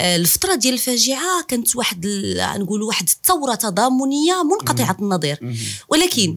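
In a Moroccan accent, a woman talks at a moderate pace. Her fairly high pitch makes very wide swings. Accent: Moroccan Darija. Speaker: podcast host. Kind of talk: interview.

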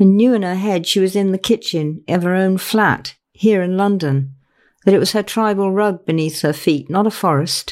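Pitch moves in an ordinary way through an unforced reading voice. Nothing else is audible behind it.

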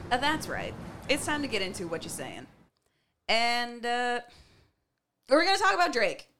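A woman speaks with a high, bright, sharp voice at a moderate pace, her pitch swinging very widely. Her loudness varies greatly, and she takes long, frequent pauses. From Canada. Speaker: podcast host. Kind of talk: casual chat.

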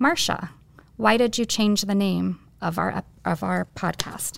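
Heard in a very clean recording with a silent background, a woman with an American accent uses a plain, everyday voice at a medium pitch and a fairly slow pace. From Bellbrook, Ohio. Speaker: podcast co-host. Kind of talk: podcast conversation, interview.

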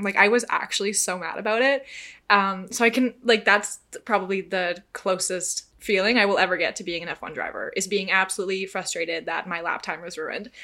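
A woman's bright, sharp, medium-pitched voice at a fairly quick pace, with ordinary pitch variation. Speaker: podcast host. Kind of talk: casual chat, solo hosting and interview. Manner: animated, chatty.

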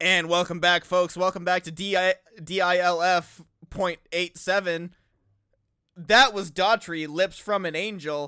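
In a very clean recording with a silent background and a dry, close sound with no echo, a man speaks fairly slowly in a high pitch, his bright, sharp tone playful over fairly even intonation. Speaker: podcast co-host. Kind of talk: casual banter podcast. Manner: joking, playful, chatty.

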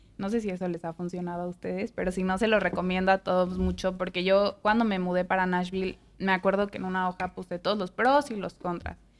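A woman speaks in a Mexican accent at a very fast pace with hardly any pauses, her pitch medium and her intonation monotone and flat. The recording is very clean, with a silent background. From Mexico. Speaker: podcast host. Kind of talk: casual chat.

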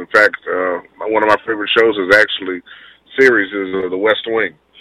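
A man with an American accent speaks at a moderate pace in a fairly low, bright, sharp voice. His intonation is flat and monotone, and the sound is dry and close with no echo. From Houston, Texas. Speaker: city council candidate. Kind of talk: radio interview, campaign talk. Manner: earnest, polite, with frequent um's.

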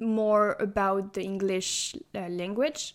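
A French accent on a very clean recording with a silent background. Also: woman. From Brittany, France. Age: 20s. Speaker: university student, exchange student.

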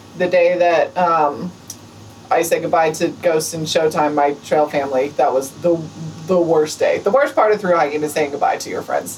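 A woman's fairly low voice at a moderate pace, with ordinary pitch variation, over noticeable background noise. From New Mexico, Albuquerque. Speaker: thru-hiker and new veterinarian. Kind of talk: casual interview. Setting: hostel.

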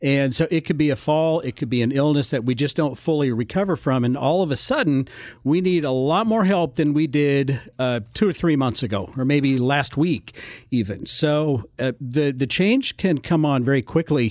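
Spoken at a moderate pace with very even loudness and ordinary pitch variation, this is a plain, everyday voice on a very clean recording with a silent background. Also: man, fairly high pitch for a man. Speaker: senior care consultant. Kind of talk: radio interview. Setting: studio.

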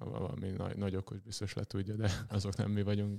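A man with a fairly low voice rattles off words at a very fast pace, his intonation fairly even, on a very clean recording where the background is silent. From Veszprém, Hungary. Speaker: professional handball player. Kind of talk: interview. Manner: halting.

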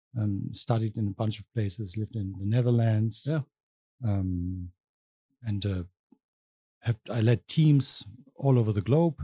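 A man with a German accent speaks at a fairly low pitch and fairly slow pace, with long, frequent pauses. His tone is dark, mellow and somewhat breathy, with ordinary pitch variation and a dry, close sound with no echo. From southwest Germany. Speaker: professor. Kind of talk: casual chat.

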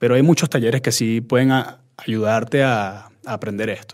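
A man speaks in a normal speaking voice, captured in a very clean recording with a silent background. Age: 30s. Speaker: chef and social media content creator. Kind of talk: casual interview.

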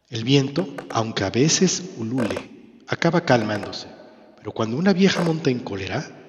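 This is read aloud in an unforced voice. Its intonation rises and falls in a lively way.

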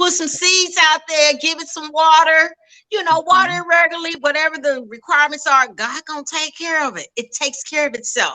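A woman with an extremely high pitch and a bright, sharp tone speaks at a fairly quick pace in a raised, projected voice, with fairly even intonation and big swings in loudness. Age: 50s. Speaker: nutrition educator. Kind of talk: casual interview.

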